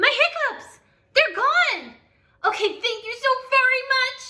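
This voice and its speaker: A woman puts on a squeaky character voice with an extremely high pitch. She speaks at a fairly slow pace. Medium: read story. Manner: chatty, breathless, interrupted by hiccup gasps.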